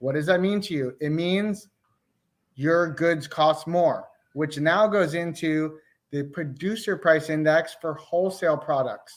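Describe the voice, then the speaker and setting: A man with an ordinary speaking voice talks at a fairly slow pace and a fairly high pitch. His intonation is fairly even, and the recording is very clean with a silent background. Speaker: real estate agent. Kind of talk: market update chat.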